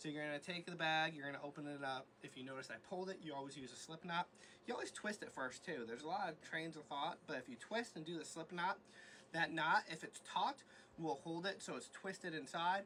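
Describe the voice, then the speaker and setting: A man talks at a fairly high pitch and a fairly quick pace. His pitch varies in an ordinary way. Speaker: reptile rescue keeper. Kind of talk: tutorial. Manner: fast; casual.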